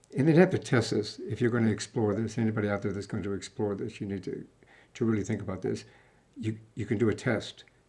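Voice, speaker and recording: A man speaks very fast in a fairly low, somewhat breathy voice with a dark, mellow tone and ordinary pitch variation. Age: 60s. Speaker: podcast host. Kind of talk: casual interview chat.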